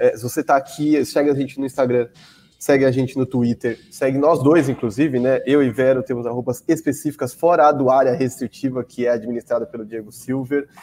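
Dark and mellow in tone, a man at medium pitch speaks at a fairly quick pace with fairly even intonation. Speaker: podcast co-host. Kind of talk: casual chat. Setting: away from usual studio. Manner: quiet, restrained.

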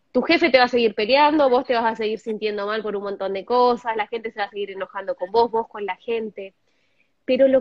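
An Argentine accent at a fairly quick pace, with ordinary pitch variation. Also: woman. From Argentina, Zapala (Neuquén). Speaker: meditation teacher. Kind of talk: interview explanation.

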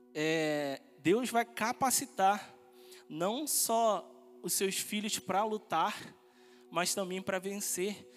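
A man speaks very slowly in a high voice with lively intonation and long, frequent pauses while music plays in the background. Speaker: pastoral trainee preaching. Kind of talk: sermon, preaching a Bible study message to a congregation. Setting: church. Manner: earnest, fervent preacher's delivery, rising with conviction and ending in praise.

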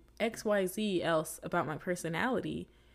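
With lively intonation and a medium pitch, a woman talks on a very clean recording over a silent background. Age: 20s. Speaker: podcast host, college student. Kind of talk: casual solo monologue. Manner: animated.

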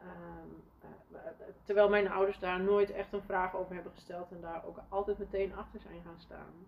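Monotone, flat intonation from a woman, at a moderate pace. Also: medium pitch for a woman, big swings in loudness. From Netherlands, Friesland (village). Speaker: leadership coach and entrepreneur. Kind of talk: interview, casual conversation. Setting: podcast. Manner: hesitant, many fillers.

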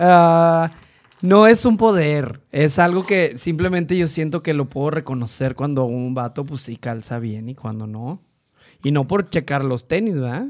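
A man with a fairly high voice speaks fairly slowly, his loudness swinging widely. His intonation is lively, and the recording is very clean with a silent background. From northeastern Mexico (Tamaulipas). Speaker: designer and podcaster. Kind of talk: casual chat.

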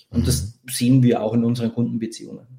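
This man talks in a Bavarian accent at a medium pitch, his tone dark and mellow. His delivery is somewhat breathy, with fairly even intonation. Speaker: tech company co-founder. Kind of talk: casual interview. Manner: hesitant, many fillers.

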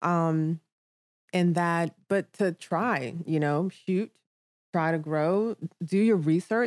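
An unremarkable speaking voice from a woman with an American accent and ordinary pitch variation, dry and close with no echo, on a very clean recording with a silent background. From Nigeria, then London, New York, Maryland and Virginia. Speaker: modeling agency owner. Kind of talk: casual chat.

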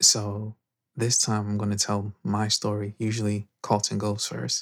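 Captured on a very clean recording with a silent background, a man with a New York accent speaks at a fairly low pitch. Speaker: podcast host. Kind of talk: casual chat. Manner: whispering.

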